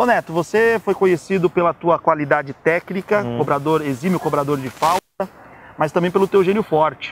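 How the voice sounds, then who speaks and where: A man talks fairly quickly in a high voice, his pitch varying in an ordinary way. The sound is dry with no echo, over light background noise. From Brazil. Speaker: sports journalist and host; sports journalist, host. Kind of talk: interview. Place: street. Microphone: lapel.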